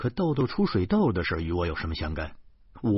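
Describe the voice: What you hear is plain reading aloud.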